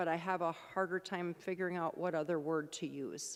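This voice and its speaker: A woman is talking. She has an American accent. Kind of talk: lecture. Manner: loud. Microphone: remote mic, echoing.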